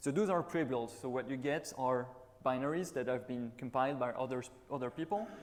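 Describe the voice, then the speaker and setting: A man speaks at a fairly quick pace with a French accent. There is audible room echo. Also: medium pitch for a man, ordinary pitch variation. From France, Toulouse. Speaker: conference speaker, embedded Linux engineer. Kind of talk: conference talk. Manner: hesitant, with fillers.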